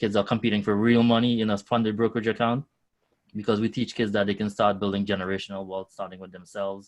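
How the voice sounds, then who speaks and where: A man's fairly low voice in a strong Trinidadian accent at a very fast pace, over a quiet background. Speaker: nonprofit founder connecting students with finance careers. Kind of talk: podcast interview. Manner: animated.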